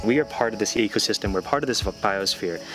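Clear music sits in the background as a man speaks at a fairly low pitch, the sound dry with no echo. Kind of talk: interview answer. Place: forest.

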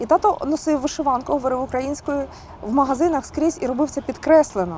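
Noticeable background noise surrounds a woman speaking at a high pitch. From Kharkiv, Ukraine. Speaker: singer. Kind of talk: interview answer.

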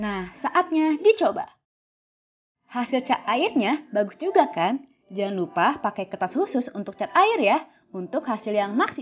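With very wide pitch swings, a high-voiced woman speaks at a fairly slow pace. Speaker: DIY craft YouTuber. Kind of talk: tutorial.

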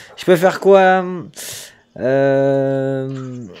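Over light background noise, a man talks at a very slow pace with lively intonation. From France. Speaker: gaming streamer. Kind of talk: live gameplay stream chat. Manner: animated.

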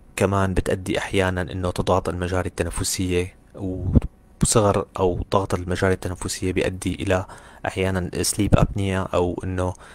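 Speaking at a fairly slow pace, a man uses a very deep, low pitch and monotone, flat intonation. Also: hardly any pauses. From Syria. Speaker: orthodontist and university lecturer. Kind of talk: lecture. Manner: halting. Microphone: audio quality issues reported by some listeners.

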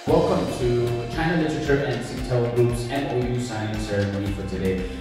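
Amid strong room echo and clear background music, a man talks at a fairly quick pace with ordinary pitch variation. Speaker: bilingual event emcee. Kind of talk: live event hosting. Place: hall.

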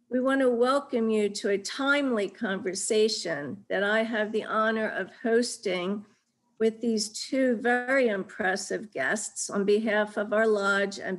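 A woman at a fairly slow pace with ordinary pitch variation over a quiet background. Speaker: event moderator. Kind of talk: formal introduction. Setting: video call. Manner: formal. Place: home room. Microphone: video call.

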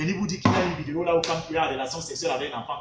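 A man with a Cameroonian accent talks at a very fast pace. Noticeable background noise runs underneath. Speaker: university researcher and political commentator; political commentator. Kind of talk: heated political commentary interview. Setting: live online video stream. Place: home room. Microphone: phone near.

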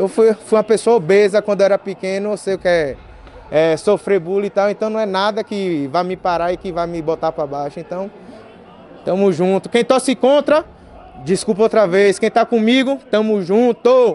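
A man's high voice shows ordinary pitch variation as he speaks at a moderate pace. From Bahia, Brazil (Feira de Santana); Bahia, Brazil. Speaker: MMA fighter. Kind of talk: post-fight interview. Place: meeting room. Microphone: podium.

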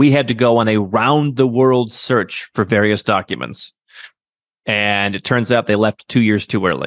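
A man with a Midwestern American accent, fairly even intonation and moderate pace against a quiet background. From US Midwest. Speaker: expatriation and second-passport consultant; interview guest. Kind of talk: interview. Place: home room. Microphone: studio mic.

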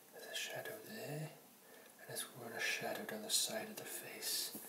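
Soft-spoken, a man talks at a fairly slow pace against noticeable background noise. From Wales. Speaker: caricature artist. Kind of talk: ASMR drawing narration. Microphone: phone near.

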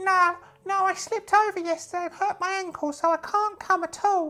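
An extremely high-pitched, put-on character voice at a moderate pace. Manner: earnest, deferential.

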